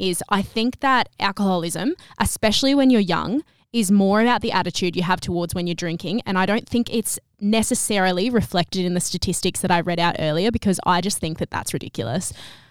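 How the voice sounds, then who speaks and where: Here a woman talks at a fairly quick pace with an Australian accent. The recording is very clean and silent behind her, dry and close with no echo. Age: 20s. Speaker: podcast host. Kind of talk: casual chat.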